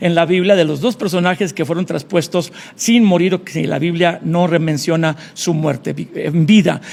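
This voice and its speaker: A man's high-pitched voice with ordinary pitch variation, a moderate pace and noticeable background noise. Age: 60s. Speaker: pastor. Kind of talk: interview.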